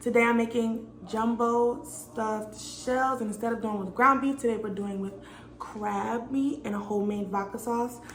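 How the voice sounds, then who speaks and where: With audible room echo and noticeable background noise, a woman speaks at a moderate pace with a fairly high pitch. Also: fairly even intonation. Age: 20s. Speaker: cooking vlogger. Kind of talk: tutorial.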